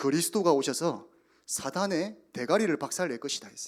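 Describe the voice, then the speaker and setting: The man's voice sits fairly high. He talks at an even, middling speed. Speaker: youth pastor. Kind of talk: sermon. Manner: animated.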